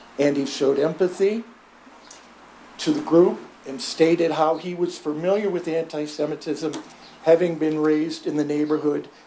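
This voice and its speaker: Background noise is noticeable throughout. The talking proceeds at a moderate pace. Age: 70s. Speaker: public commenter at city meeting. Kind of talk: public comment. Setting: city commission meeting.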